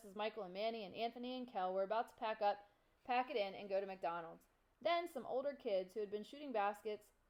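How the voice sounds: The pitch varies in an ordinary way across this natural reading voice.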